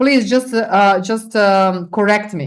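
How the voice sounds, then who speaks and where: A woman with a non-native accent against a quiet background. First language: not English. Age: 40s. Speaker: business coach. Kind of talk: interview. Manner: animated.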